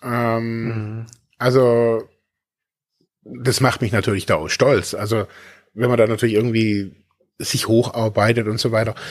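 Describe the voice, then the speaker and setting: Speaking fairly slowly at a medium pitch, a man keeps a flat, monotone intonation and leaves long, frequent pauses. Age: 40s. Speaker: podcast co-host, recovering addict. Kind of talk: casual chat. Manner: halting.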